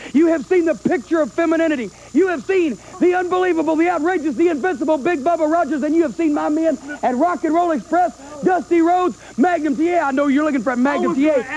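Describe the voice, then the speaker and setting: A man talks very fast at an extremely high pitch. His loudness stays very even and his pitch varies in an ordinary way, with light background noise. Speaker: wrestling manager. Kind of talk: wrestling promo. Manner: loud, brash. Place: studio. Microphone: handheld.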